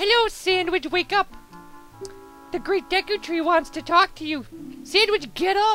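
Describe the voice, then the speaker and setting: A put-on character voice at an extremely high pitch moves at a moderate pace. Clear music plays in the background. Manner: chirpy, insistent.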